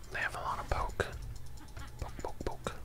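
Loud background noise sits behind a man who speaks at a fairly slow pace. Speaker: gamer. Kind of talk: ASMR gaming commentary.

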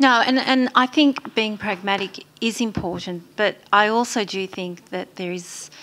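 At a fairly slow pace, a woman speaks at a medium pitch with a fairly bright tone and fairly even intonation.

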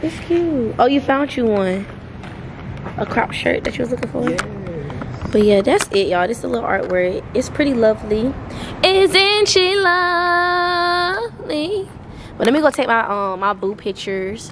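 A woman's high-pitched voice at a moderate pace, broken by long, frequent pauses, over noticeable background noise. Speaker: travel vlogger. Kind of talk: casual vlog chat. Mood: cheerful, playful. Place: street. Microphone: phone near.

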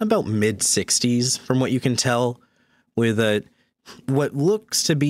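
A natural read-aloud voice, ordinary pitch variation, and a quiet background

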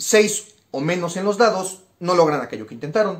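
A man with a high pitch speaks at a moderate pace. His intonation is lively. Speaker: cultural program presenter. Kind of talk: explanatory capsule.

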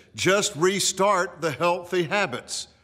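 A man speaks fairly slowly against quiet surroundings. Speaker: pastor. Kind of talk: short devotional radio message. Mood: earnest, encouraging. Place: studio.

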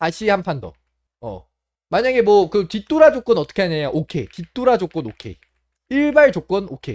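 A man's high voice moves in very wide pitch swings, with a dry, close sound and no echo. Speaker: mahjong streamer. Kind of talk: casual vlog narration. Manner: halting.

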